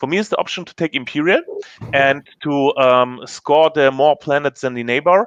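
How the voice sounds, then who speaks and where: A man with a non-native accent talks at a moderate pace in a fairly high pitch with ordinary pitch variation, the sound dry and close with no echo. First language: not English. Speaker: board game player. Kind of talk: casual chat. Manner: halting.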